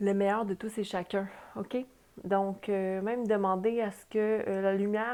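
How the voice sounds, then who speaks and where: A woman speaks with a Quebec accent at a fairly high pitch. Her pace is very slow and her intonation monotone and flat. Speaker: tarot reader and spiritual guide. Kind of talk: tarot reading. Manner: hesitant, many fillers. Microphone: new small microphone.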